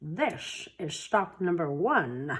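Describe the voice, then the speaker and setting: This is a put-on character voice. It growls. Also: woman. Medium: read story. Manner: snarling, sneering.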